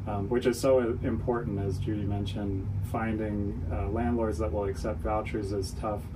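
An ordinary speaking voice from a man, fairly low in pitch, at a moderate pace with fairly even intonation. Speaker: nonprofit CEO. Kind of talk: radio interview.

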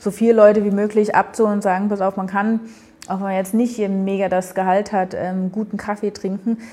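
Speaking very fast, a woman holds a medium pitch in a monotone, flat intonation. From eastern Germany (Berlin / Dresden). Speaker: café owner and coffee roaster. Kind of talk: casual interview.

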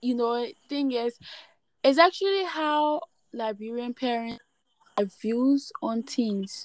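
A woman's high voice with lively intonation, at a very slow pace with long, frequent pauses. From Liberia. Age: 20s. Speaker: podcast host. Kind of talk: casual chat.

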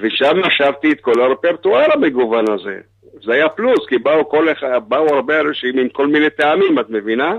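His pitch is fairly high, with ordinary variation. The man keeps a moderate pace. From Israel, kibbutz. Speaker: singer. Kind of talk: phone interview. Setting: phone call.

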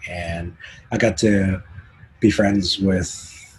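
There is noticeable background noise behind this speaker. A man talks with a very deep, low pitch and fairly even intonation. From Canada. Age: 50s. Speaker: concert photographer. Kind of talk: casual interview.

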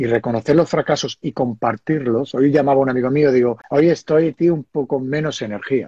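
Speaking at a fairly quick pace, a man with an unremarkable speaking voice uses ordinary pitch variation at a fairly high pitch. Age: 50s. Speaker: entrepreneur. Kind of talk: live video interview.

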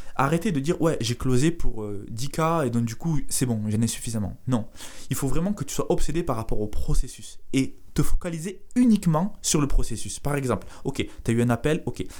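A man's fairly high voice in a southern French accent, at a moderate pace with lively intonation. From southern France (Carcassonne). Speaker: entrepreneur, sales coach. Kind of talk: casual interview. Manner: halting, repetitive.

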